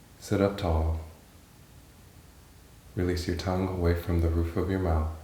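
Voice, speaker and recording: At a moderate pace, a man with a very deep, low pitch speaks in a somewhat breathy, monotone, flat way, his loudness very even. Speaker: yoga instructor. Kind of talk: guided yoga practice.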